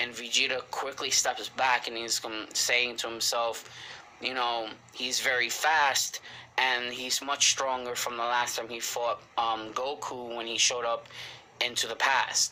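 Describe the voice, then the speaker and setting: Speaking at a fairly slow pace with monotone, flat intonation, a man with a medium pitch talks in a slight Spanish accent. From Puerto Rican heritage. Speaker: anime reviewer. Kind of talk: casual episode review recap. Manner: halting, many fillers.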